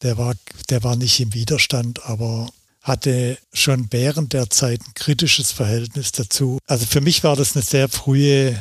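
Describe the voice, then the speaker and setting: Somewhat breathy speech comes at a very slow pace. The intonation stays fairly even. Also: man. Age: 60s. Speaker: documentary photographer. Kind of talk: interview.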